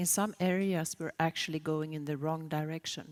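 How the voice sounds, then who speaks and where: Recorded with a dry, close sound and no echo, a woman speaks at a moderate pace with a Swedish accent. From Sweden. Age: 60s. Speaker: sustainability consultant. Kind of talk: conference keynote.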